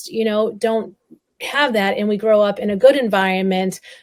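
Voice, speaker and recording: This woman speaks with a New England accent at a fairly high pitch. Her pace is moderate and her intonation fairly even. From Massachusetts, North Shore. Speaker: survivor advocate and speaker. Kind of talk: interview testimony.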